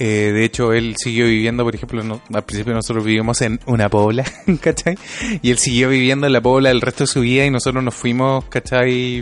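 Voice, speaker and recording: Over noticeable background noise, a man with a Chilean accent talks at a fairly quick pace in a medium pitch with fairly even intonation. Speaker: podcast co-host. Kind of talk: casual chat.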